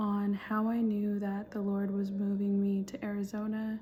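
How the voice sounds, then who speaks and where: A woman whispers quietly in an American accent. Music plays in the background. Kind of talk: testimony. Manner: whispering, quiet; casual, hesitant with fillers.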